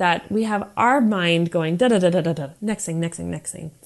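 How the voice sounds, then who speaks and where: A woman with an American accent and a normal speaking voice talks at a moderate pace, her fairly low pitch carrying lively intonation over a quiet background. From USA. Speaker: counselor. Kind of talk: prepared monologue.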